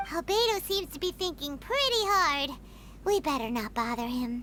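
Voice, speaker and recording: A put-on character voice with a high pitch is heard over clear background noise. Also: moderate pace. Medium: video game. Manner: energetic, casual.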